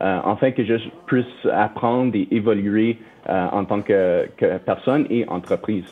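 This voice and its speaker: A man speaks with an English accent in a fairly low voice. His pace is fairly slow and his pitch varies in an ordinary way. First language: English (speaking French). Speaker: company finance executive. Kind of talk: interview. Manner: halting, many fillers.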